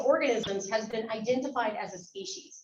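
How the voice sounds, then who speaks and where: Here a woman speaks with an animated tone at a moderate pace. Her voice sits fairly high. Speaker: biology instructor and guest speaker. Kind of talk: lecture. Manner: loud.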